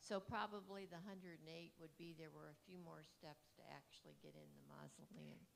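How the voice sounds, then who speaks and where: With an American accent, a woman talks at a fairly quick pace amid audible room echo. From Ohio, Canton. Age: 70s. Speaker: audience member. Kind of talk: audience comment at lecture.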